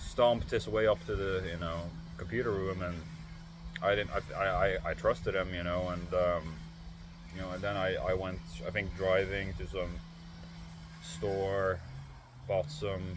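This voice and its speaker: Long, frequent pauses mark a man's very deep, low, somewhat breathy voice, heard with audible room echo. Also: ordinary pitch variation, moderate pace. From Norway. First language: Norwegian. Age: 30s. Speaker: vlogger. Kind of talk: casual chat. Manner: halting, many fillers and repeated words.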